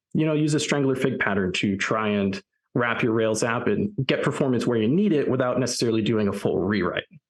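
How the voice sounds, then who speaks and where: Lively intonation marks this man's American accent at a medium pitch. His pace is fairly quick and his loudness very even. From US Northeast. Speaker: software developer, conference speaker. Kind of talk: conference talk. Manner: fast.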